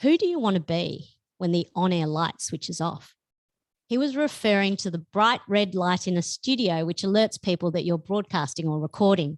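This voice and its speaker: In an Australian accent, a woman at medium pitch talks at a moderate pace with lively intonation, the sound dry and close with no echo. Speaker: author. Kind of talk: reading aloud. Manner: loud.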